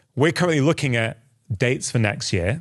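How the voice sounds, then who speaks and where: Against a quiet background, a man with a British accent speaks with lively intonation. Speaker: doctor and podcast host. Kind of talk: interview conversation.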